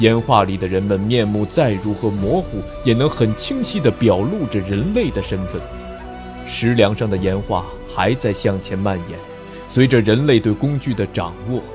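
Fairly low male voice at a fairly slow pace, with music in the background. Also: ordinary pitch variation. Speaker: audiobook narrator. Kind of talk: audiobook novel narration.

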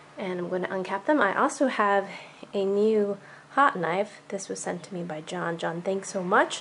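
Light background noise sits behind a woman who speaks at a moderate pace. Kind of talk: tutorial vlog. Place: home room. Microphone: phone near.

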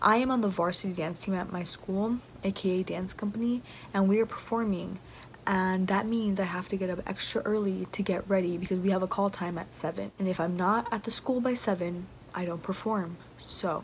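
Over light background noise, a woman speaks at a moderate pace in a somewhat breathy voice. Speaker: student vlogger. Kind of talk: casual vlog chat. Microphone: phone near.

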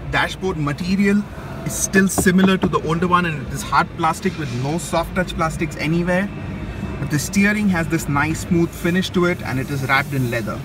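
A man speaks at a fairly quick pace in a high voice. Music plays in the background. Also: ordinary pitch variation, dry sound with no echo. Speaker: car reviewer. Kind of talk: walkaround commentary. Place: hall. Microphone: phone near.

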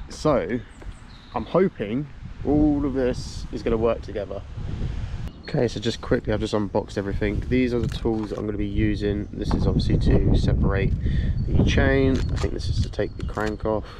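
This man's voice, dry with no echo, moves at a moderate speed against loud background noise. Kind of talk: casual vlog chat. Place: open country. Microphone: phone near.

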